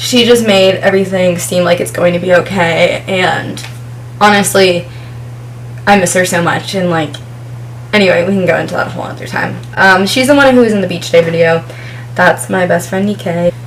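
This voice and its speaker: Through noticeable background noise and audible room echo, a woman with an American accent speaks at a fairly low pitch and fairly quick pace, her pitch swinging very widely between long, frequent pauses. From New Jersey. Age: 20s. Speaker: vlogger. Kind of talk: casual chat. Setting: home, filming with ring light.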